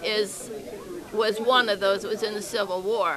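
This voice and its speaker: A fairly slow pace with crowd noise in the background. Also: woman. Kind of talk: interview answer.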